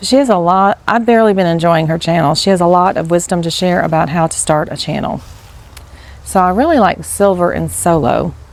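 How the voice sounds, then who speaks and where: Soft-spoken and fairly low-pitched, a woman talks at a fairly quick pace with ordinary pitch variation. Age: 50s. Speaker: teacher and new vlogger. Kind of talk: casual vlog monologue. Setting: outdoors. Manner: rambling, hesitant.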